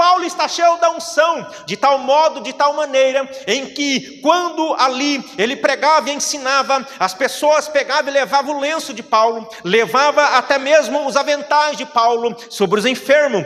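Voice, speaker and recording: Through noticeable background noise, a man with an extremely high pitch speaks at a fairly slow pace in an animated tone, with ordinary pitch variation and hardly any pauses. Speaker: preacher. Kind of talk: sermon.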